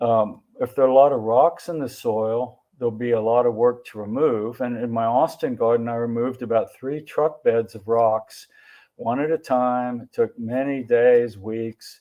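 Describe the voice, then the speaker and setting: With an unremarkable speaking voice, a man talks at a moderate pace and medium pitch, his intonation fairly even, his loudness swinging widely, and hardly any pauses. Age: 60s. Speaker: family practice doctor. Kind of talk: symposium presentation.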